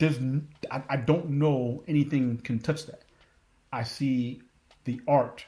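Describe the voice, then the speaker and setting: This man's voice is dark and mellow, medium in pitch, and somewhat breathy. He leaves long, frequent pauses, and his loudness swings widely. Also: fairly slow pace. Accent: American. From Philadelphia, Pennsylvania. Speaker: Coast Guard veteran working in tech. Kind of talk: interview conversation. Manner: animated.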